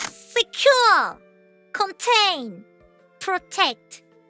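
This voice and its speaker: Over music in the background, a woman uses a raised, projected voice in a dry, close sound with no echo. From Korea. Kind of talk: casual explainer talk to viewers.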